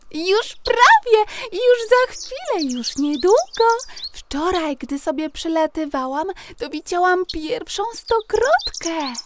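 Extremely high in pitch, a put-on character voice with a cheerful tone speaks at a fairly slow pace. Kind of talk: children's bedtime audio play. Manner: chirpy, cheerful.

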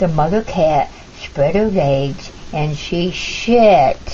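With audible room echo, a woman talks slowly in a low pitch with a dark, mellow tone. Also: lively intonation.

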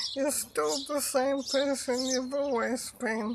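Over noticeable background noise, a woman with a high pitch talks at a very slow pace in a dry sound with no echo. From New Zealand. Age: 40s. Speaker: doctor with motor neuron disease. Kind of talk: charity appeal. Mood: earnest, serious. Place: garden. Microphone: camera far.

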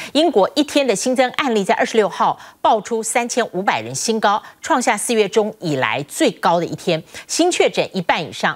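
A woman's voice swings very widely in pitch over a quiet background. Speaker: news anchor. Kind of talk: news reading. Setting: studio. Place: studio.

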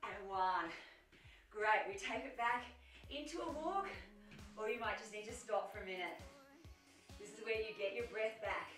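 Faint music sits behind a woman whose loudness swings widely, with long, frequent pauses and audible room echo. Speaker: fitness instructor. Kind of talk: workout instruction. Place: home room.

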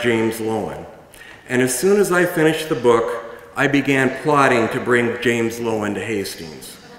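Audible room echo surrounds a man speaking at a moderate pace. His pitch varies in an ordinary way. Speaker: event moderator. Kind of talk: public speaking. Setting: stage with audience. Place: stage. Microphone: podium.

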